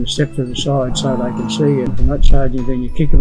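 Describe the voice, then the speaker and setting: With music playing in the background, a man delivers his words fairly quickly and with fairly even intonation. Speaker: former stockman. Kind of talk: interview answer.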